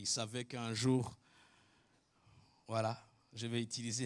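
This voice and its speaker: A man's medium-pitched voice at a very slow pace, monotone and flat in intonation. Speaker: preacher. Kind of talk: sermon.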